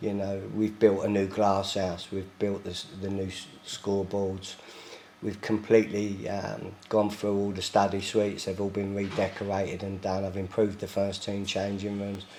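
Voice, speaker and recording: A man's fairly low, monotone voice with flat intonation at a moderate pace. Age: 60s. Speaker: football club chairman. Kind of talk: interview. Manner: hesitant, many fillers.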